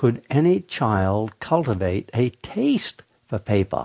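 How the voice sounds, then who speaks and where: In an American accent, a man speaks at a very slow pace and medium pitch with very wide pitch swings, recorded with a dry, close sound, no echo and a quiet background. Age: 70s. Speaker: radio host. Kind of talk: radio monologue. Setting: studio.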